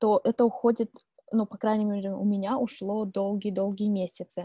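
A somewhat breathy woman's voice, fairly high in pitch with a dark, mellow tone, at a moderate pace in a dry, close sound with no echo. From Siberia, Irkutsk region, Russia. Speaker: podcast co-host. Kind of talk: casual chat.

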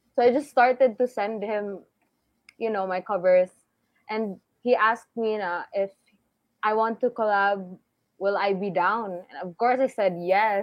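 With a Visayan Filipino accent, a woman of medium pitch speaks at a fairly slow pace with fairly even intonation and long, frequent pauses. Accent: Filipino (Cebuano) English. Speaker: singer. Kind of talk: casual chat.

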